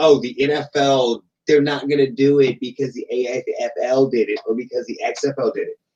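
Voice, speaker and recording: Doing a put-on character voice, a man talks in a whiny, fairly high pitch at a moderate pace with hardly any pauses. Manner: mocking, whiny, sneering.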